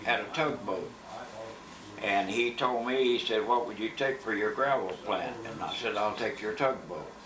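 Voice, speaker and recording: With an Appalachian accent, a man talks at a moderate pace with a medium pitch and ordinary pitch variation. Noticeable background noise and audible room echo are present. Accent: Appalachian Kentucky. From Kentucky (Berea, Madison County). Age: 80s+. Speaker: war veteran. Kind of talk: life story interview.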